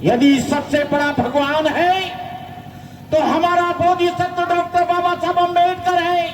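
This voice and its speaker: A man speaks at an extremely high pitch with very even loudness and fairly even intonation, with audible room echo and noticeable background noise. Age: 70s. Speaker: Buddhist monk. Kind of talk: speech at protest rally. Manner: impassioned.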